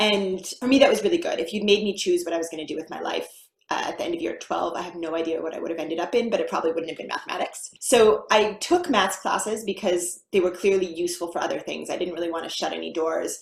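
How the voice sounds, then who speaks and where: With an American accent, a woman talks at a very fast pace. She leaves hardly any pauses. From United States. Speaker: mathematician, university lecturer. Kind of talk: interview, casual conversation.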